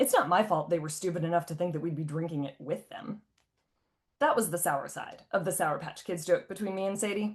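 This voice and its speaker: A woman with an American accent, fairly low in pitch and somewhat breathy, at a fairly quick pace with ordinary pitch variation. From US Midwest, Ohio. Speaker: author. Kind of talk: reading aloud.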